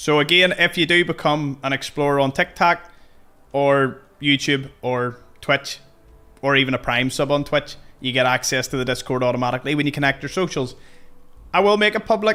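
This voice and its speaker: This man has a Belfast accent and a bright, sharp tone. His pitch is fairly high with ordinary variation, and he talks at a fairly quick pace. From Northern Ireland, Belfast. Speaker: gaming streamer. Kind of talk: live stream chat while gaming. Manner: casual, conversational.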